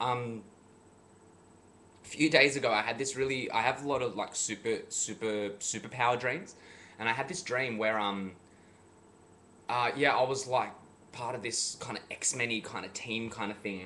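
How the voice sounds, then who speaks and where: Pausing long and often, a man speaks at a moderate pace and a medium pitch with a bright, sharp tone. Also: ordinary pitch variation. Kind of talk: casual vlog talk to camera. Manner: casual, rambling with many fillers.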